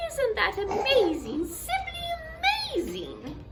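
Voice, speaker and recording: A squeaky, put-on character voice talks at a fairly slow pace over loud background noise. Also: female-sounding voice, extremely high pitch for a woman. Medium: read story. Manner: flustered, breathless.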